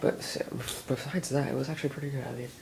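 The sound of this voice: A man talks at a fast pace with a medium pitch and fairly even intonation. His tone is slightly mellow, with some vocal fry.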